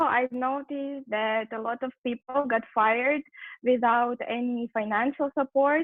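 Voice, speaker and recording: A woman with a Russian accent speaks fairly slowly at a high pitch with fairly even intonation. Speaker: business owner. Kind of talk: online panel discussion. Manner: hesitant.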